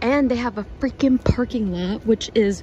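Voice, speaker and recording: A woman speaks at a moderate pace with fairly even intonation. Noticeable background noise is present. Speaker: travel vlogger. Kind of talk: casual vlog chat. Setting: outdoors then inside a museum. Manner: whispering.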